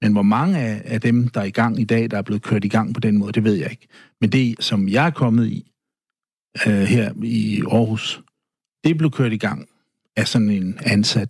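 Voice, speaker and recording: An unremarkable speaking voice, fairly slow, its pitch varying in an ordinary way. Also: man, medium pitch for a man. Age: 60s. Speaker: guest sharing personal story. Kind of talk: interview. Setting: studio.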